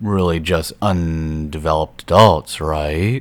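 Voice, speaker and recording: Very deep and low, a man's voice moves at a very slow pace with ordinary pitch variation. The recording is very clean, with a silent background. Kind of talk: voice-over commentary over gameplay. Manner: sarcastic, sardonic.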